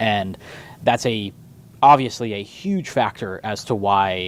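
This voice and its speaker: A man talks at a moderate pace in a fairly low pitch, with fairly even intonation. He has a plain, everyday voice. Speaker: radio host. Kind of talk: sports radio talk. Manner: casual, conversational.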